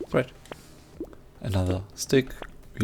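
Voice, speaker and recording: A man with a non-native accent talks at a very slow pace over noticeable background noise. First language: not English. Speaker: gaming youtuber. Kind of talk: gameplay commentary. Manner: halting, pauses mid-sentence.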